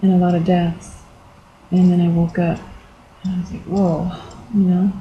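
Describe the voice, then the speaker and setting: A woman at medium pitch with monotone, flat intonation, at a moderate pace, over noticeable background noise. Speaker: video blogger. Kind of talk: personal testimony vlog. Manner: halting, many fillers.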